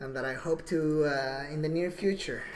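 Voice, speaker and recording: A woman speaks at a fairly slow pace in a very deep, low voice, with audible room echo and noticeable background noise. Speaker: livestreamer. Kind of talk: casual livestream monologue. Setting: live stream at computer.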